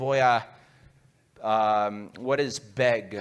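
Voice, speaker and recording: This man talks with an English accent. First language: English (speaking Spanish). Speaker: guest preacher. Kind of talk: sermon. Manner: halting, hesitant Spanish.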